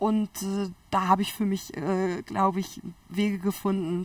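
A woman speaks in a flat monotone with a somewhat breathy voice, recorded very cleanly against a silent background. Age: 30s. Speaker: biologist and entrepreneur. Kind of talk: interview.

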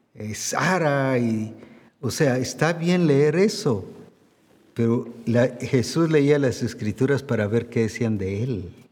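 A man speaks at a very slow pace with a medium pitch and lively intonation, and the room echo is audible. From Guatemala. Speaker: pastor. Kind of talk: sermon.

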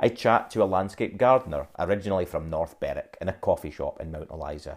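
A very fast, Scottish-accented delivery with big swings in loudness and ordinary pitch variation, on a very clean recording with a silent background. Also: man. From Scotland, Dundee. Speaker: podcaster and creative business owner. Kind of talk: personal storytelling monologue. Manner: conversational.

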